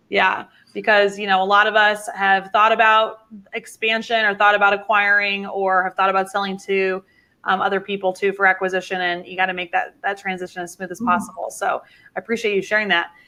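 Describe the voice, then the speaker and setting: A woman with a normal speaking voice, medium pitch, and fairly quick pace. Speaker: livestream interview host. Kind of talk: live online interview. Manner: upbeat.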